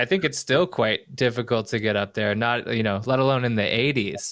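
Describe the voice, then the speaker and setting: Very clean and set against a silent background, the recording has a man with a Canadian accent and an unremarkable speaking voice talking at medium pitch and a moderate pace. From Canada. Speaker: podcast host. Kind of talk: interview.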